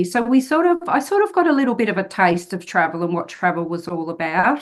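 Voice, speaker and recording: This woman has an Australian accent. Her voice sits at a medium pitch. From Australia, country New South Wales. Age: 50s. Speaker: author and solo traveller. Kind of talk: podcast interview.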